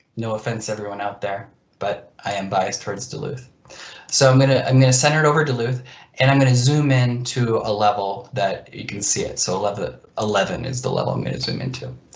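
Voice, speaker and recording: Amid audible room echo, a man at a medium pitch speaks at a very fast pace with ordinary pitch variation. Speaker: GIS presenter. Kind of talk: software demo presentation. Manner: casual with fillers and repeats.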